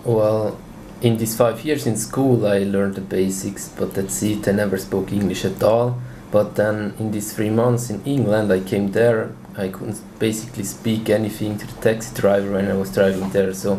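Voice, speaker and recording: Against noticeable background noise and audible room echo, a man talks at a moderate pace with a fairly low pitch and fairly even intonation. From Switzerland. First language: Swiss German. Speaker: language learner. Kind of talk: interview.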